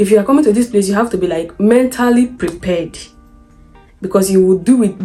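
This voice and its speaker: A woman speaks with a Nigerian accent at medium pitch and a fairly quick pace. Her pitch varies in an ordinary way, with music in the background. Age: 20s. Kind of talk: storytime vlog talk to camera.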